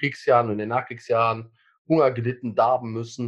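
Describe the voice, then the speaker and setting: A man's voice with monotone, flat intonation. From Germany, Lower Rhine. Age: 50s. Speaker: former eating disorder patient, self-help group co-founder. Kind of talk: interview testimony. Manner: halting, many fillers and repetitions.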